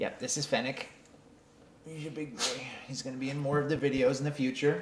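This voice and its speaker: Noticeable background noise sits behind a man with a Canadian accent. His voice is fairly high, and he takes long, frequent pauses. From Canada. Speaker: vlogger. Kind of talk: casual chat. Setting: live stream at home desk. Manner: halting, many fillers.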